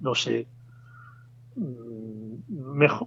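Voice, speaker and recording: A man at medium pitch, with noticeable background noise. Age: 60s. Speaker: bonsai expert. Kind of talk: interview. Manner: halting, with frequent fillers.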